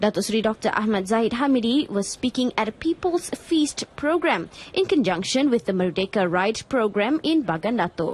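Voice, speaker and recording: Her fairly high voice swings very widely in pitch while the woman keeps her loudness very even. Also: moderate pace, hardly any pauses. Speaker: television news presenter. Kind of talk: TV news broadcast reading. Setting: studio.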